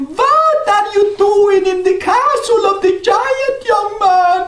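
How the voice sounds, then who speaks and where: Light background noise sits behind a put-on character voice. The delivery moves at a very slow pace. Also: man, extremely high pitch for a man. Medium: read story. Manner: fretful.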